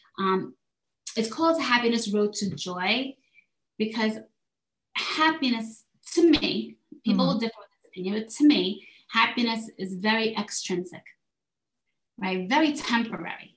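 Somewhat breathy, a woman speaks at a fairly high pitch and a moderate pace with lively intonation. Her loudness swings widely, and she takes long, frequent pauses. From South Korea. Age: 40s. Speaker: life and health coach. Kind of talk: interview.

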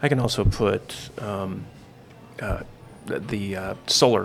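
A man is speaking. Music plays in the background. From Idaho, US. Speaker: chef and LED business owner. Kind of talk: casual chat.

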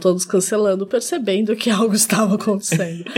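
Over noticeable background noise, a woman talks at a very fast pace with fairly even intonation. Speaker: podcast co-host. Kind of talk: casual chat. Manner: soft-spoken.

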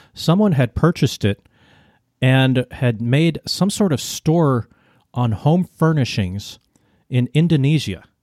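In a normal speaking voice, a man with an American accent talks at a fairly slow pace and fairly high pitch, with lively intonation and very even loudness, on a very clean recording with a silent background and a dry, close sound with no echo. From United States. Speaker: podcast host and media producer. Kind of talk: casual chat.

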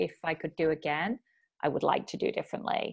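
A woman's very deep, low voice with a Manchester accent. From northern England, Bury near Manchester. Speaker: career coach. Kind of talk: casual interview.

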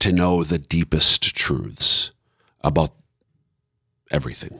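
A man with an American accent, in a dry, close sound with no echo. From Minnesota. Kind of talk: casual interview. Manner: halting, many fillers and repeats.

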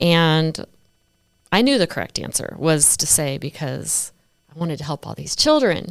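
A woman at a moderate pace, on a very clean recording with a silent background. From Florida (Tampa), with childhood in Oregon and Iowa. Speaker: real estate agent, former model and actress, foster mom. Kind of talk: casual interview chat.

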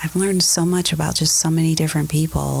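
A woman speaks over noticeable background noise. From US Midwest, Ohio (Akron area). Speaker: church member, HR professional. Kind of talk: casual chat. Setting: church.

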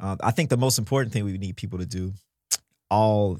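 On a very clean recording with a silent background, a man talks at fairly low pitch with ordinary pitch variation. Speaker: podcast host and drummer. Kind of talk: casual chat. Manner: energetic, joking.

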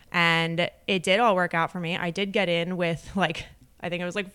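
A woman speaks in a fairly low pitch with a Philadelphia accent. Her tone is bright and sharp, on a very clean recording with a silent background. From US, Delaware County, Pennsylvania (Philadelphia area). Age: 30s. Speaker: real estate agent and podcast co-host. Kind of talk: casual chat.

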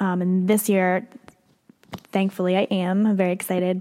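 This is a woman speaking with an American accent. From Pennsylvania. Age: 20s. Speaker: podcast host. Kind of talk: casual solo monologue. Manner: hesitant, many fillers and laughs.

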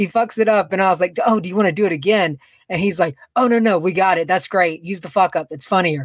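The speech rushes along at a very fast pace in a Southern US accent with ordinary pitch variation. The recording is very clean, with a silent background. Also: man, high pitch for a man, dry, close sound with no echo. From Macon, Georgia, US. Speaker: podcaster. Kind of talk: casual interview chat.

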